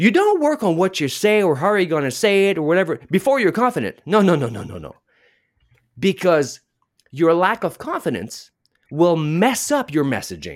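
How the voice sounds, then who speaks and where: A man with a French accent speaks at a moderate pace in a high voice, his pitch swinging very widely, on a very clean recording with a silent background. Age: 40s. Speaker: public speaking coach. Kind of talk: interview chat.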